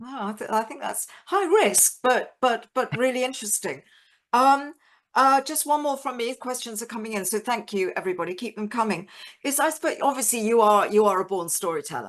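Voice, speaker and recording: Over a quiet background, a woman with a plain, everyday voice talks at a fairly quick pace, her fairly high pitch moving with lively intonation. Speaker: former head of audio drama, masterclass host. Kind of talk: hosting a live online masterclass.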